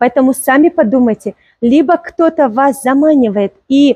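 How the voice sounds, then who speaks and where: With a Tajikistan accent, a woman speaks very slowly in a dark, mellow tone, the sound dry and close with no echo. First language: Tajik (speaking Russian). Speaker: clothing seller presenting products on video. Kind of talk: sales pitch.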